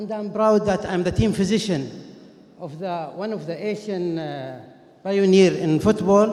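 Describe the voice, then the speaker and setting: Over noticeable background noise and audible room echo, a man with a Saudi accent and a high pitch speaks at a fairly slow pace, with ordinary pitch variation and big swings in loudness. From Saudi Arabia. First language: Arabic. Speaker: orthopedic and sports medicine doctor. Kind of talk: conference lecture. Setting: conference stage with audience. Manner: halting, many fillers.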